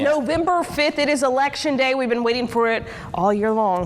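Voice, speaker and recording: Noticeable background noise surrounds a woman who talks at a fairly quick pace in a high voice, energetic in tone, with ordinary pitch variation. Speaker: TV news anchor. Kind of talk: TV news report.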